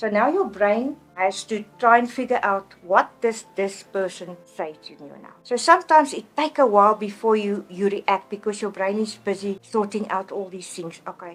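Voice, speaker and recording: Music plays behind a woman with a South African accent who speaks at a moderate pace and medium pitch. Her loudness swings widely. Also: ordinary pitch variation. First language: Afrikaans. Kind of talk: personal testimony interview.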